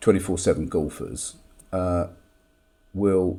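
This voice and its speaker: Vocal fry from a man at a fairly slow pace. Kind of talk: casual talk to camera.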